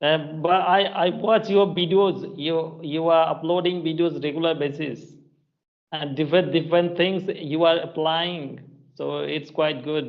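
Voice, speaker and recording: With a Bengali accent and fairly even intonation, a man speaks at a fairly slow pace and fairly high pitch amid audible room echo. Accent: Indian (Bengali) English. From India, West Bengal (Purulia). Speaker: English teacher, channel host. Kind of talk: casual chat. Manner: halting, many fillers.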